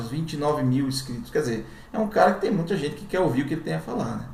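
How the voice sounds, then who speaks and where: Lively intonation marks a man's fairly high-pitched voice, heard with audible room echo and noticeable background noise. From Brazilian Northeast. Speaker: YouTuber. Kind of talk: commentary. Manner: casual.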